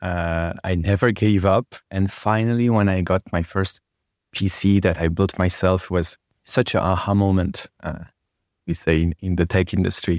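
With a French accent, a man speaks at a moderate pace in a very deep, low pitch, with fairly even intonation and very even loudness, in a very clean recording with a silent background and a dry, close sound with no echo. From France. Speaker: storytelling trainer. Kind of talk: casual interview chat.

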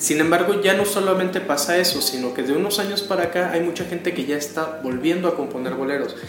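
Over music in the background, a man speaks at a very fast pace with hardly any pauses and audible room echo. His pitch is high, with ordinary pitch variation. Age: 30s. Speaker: music enthusiast guest. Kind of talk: radio interview. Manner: halting.

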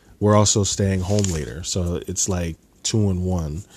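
In a very deep, low voice with a dark, mellow tone, a man speaks at a fairly slow pace. His intonation stays fairly even on a very clean recording with a silent background. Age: 20s. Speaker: solo podcaster. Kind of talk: casual monologue. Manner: halting, many fillers.

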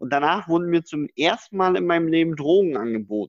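A man talks in a normal speaking voice with lively intonation at a moderate pace. The sound is dry and close, with no echo. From northeastern Germany. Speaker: podcast co-host. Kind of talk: casual chat.

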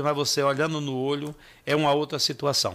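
The man's voice sits fairly high in pitch, with a bright, sharp tone. He talks at a moderate pace. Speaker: city council president. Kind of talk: radio interview. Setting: radio studio. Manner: halting.

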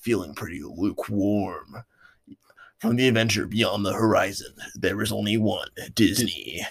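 A raspy, put-on character voice from a man, fairly low in pitch, at a moderate pace. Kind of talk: movie trailer voiceover. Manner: slow, dramatic.

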